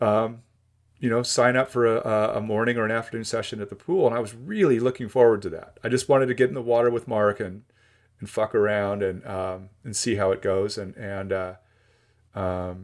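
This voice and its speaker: A man speaks at a fairly quick pace with a General American accent, his pitch medium and its variation ordinary. The recording is very clean, with a silent background. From Los Angeles, US. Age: 60s. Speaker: surf historian and author. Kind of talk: casual interview chat. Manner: halting, many repeated words.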